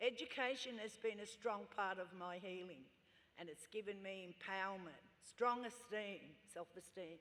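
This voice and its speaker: A woman with an Australian accent talks at a moderate pace and medium pitch. Her pitch varies ordinarily, while her loudness swings widely. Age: 70s. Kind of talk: acceptance speech. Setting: stage with audience at graduation ceremony.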